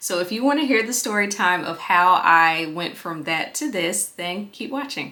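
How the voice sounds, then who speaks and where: With an ordinary speaking voice, a woman at medium pitch talks at a moderate pace with lively intonation and hardly any pauses. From Southern US. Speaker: former TV news reporter. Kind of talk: casual talk to camera.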